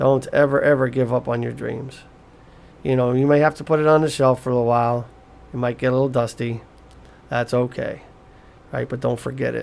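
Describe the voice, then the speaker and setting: Fairly even intonation marks this man's speech, pitched in the middle range. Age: 60s. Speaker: psychic medium and podcaster. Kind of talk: casual motivational monologue. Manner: conversational with frequent fillers and repetitions.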